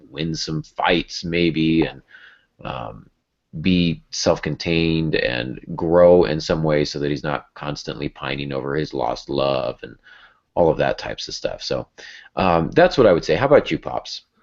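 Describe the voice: Vocal fry, lively intonation and a fairly slow pace. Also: man, extremely low pitch for a man.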